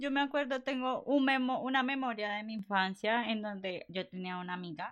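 Moderately paced female speech with ordinary pitch variation. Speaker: podcast co-host. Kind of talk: casual chat. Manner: animated.

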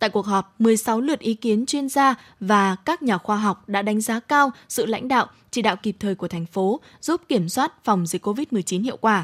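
An ordinary speaking voice from a woman, fairly high in pitch, with lively intonation at a fairly slow pace on a very clean recording with a silent background. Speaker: radio host. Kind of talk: news reading. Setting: studio.

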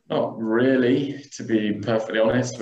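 A man's medium-pitched voice, an ordinary speaking voice. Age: 20s. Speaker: tech startup co-founder. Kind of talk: interview.

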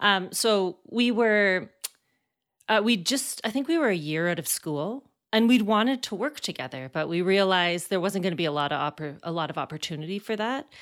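In a Canadian accent, a woman with a normal speaking voice and medium pitch talks at a fairly quick pace with lively intonation, on a very clean recording with a silent background. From Canada, Alberta (Calgary). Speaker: playwright and actor. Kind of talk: interview.

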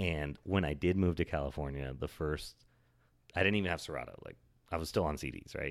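With an American accent, a man speaks at a fairly quick pace in a very deep, low pitch, his fairly even intonation carrying vocal fry. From Oregon, US. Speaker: DJ. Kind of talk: casual chat.

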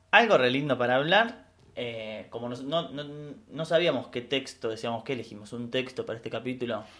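At a fairly quick pace, a man with a medium pitch and a plain, everyday voice speaks with ordinary pitch variation and big swings in loudness. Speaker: podcast co-host. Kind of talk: casual educational chat.

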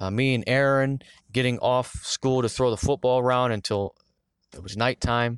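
An unremarkable speaking voice moves at a moderate pace with fairly even intonation and big swings in loudness. The sound is dry and close with no echo, over a quiet background. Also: man, medium pitch for a man. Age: 20s. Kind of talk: casual devotional monologue.

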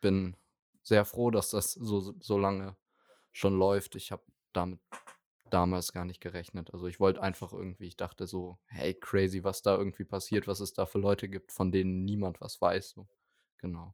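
A man talks at a very deep, low pitch and a moderate pace, with monotone, flat intonation and big swings in loudness. The sound is dry and close with no echo, in a very clean recording with a silent background. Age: young. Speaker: online music magazine founder. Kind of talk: casual chat.

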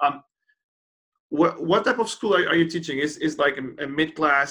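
A man speaks with a Portuguese accent and ordinary pitch variation. His tone is bright and sharp. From Portugal. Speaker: podcast host. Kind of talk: casual interview. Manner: halting, repeats words.

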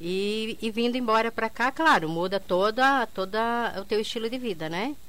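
A woman speaks in an ordinary speaking voice, with lively intonation and a moderate pace. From southern Brazil, interior of Paraná (Quedas do Iguaçu). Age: 50s. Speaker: entrepreneur, bar owner. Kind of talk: radio interview. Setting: radio studio.

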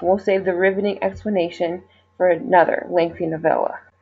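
With an American accent, a woman talks at a fairly quick pace in an unremarkable speaking voice of medium pitch. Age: 20s. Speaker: physician assistant student, listener. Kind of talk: recorded voice message.

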